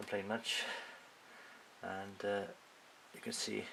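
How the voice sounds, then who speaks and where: A man speaks in a relaxed tone with a Welsh accent. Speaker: scale model builder. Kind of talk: casual show and tell to camera. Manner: hesitant, relaxed, many filler sounds.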